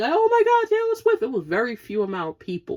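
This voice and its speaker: A woman speaks in a New York accent with an animated tone at a moderate pace. The recording is very clean, with a silent background. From Brooklyn, New York. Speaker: podcast host. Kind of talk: casual rant.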